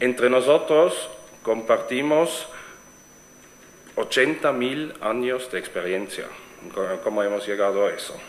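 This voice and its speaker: Over noticeable background noise and audible room echo, a man with a slight German accent speaks at a fairly slow pace with long, frequent pauses. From Switzerland. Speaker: event organizer, networking platform founder. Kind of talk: conference presentation. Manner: halting, many fillers and restarts.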